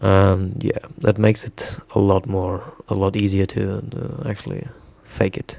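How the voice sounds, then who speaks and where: Fairly slow speech with a non-native accent and ordinary pitch variation, over noticeable background noise. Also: man, fairly low pitch for a man. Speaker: illustrator, digital artist. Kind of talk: tutorial. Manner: halting, many fillers.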